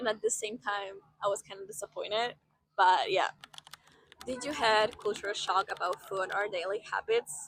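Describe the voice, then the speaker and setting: A woman's fairly high-pitched voice in a Polish accent, at a moderate pace with ordinary pitch variation. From Poland, small city. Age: 20s. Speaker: vlogger, former au pair. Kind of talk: casual Q&A vlog. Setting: outdoors by the seaport. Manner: animated.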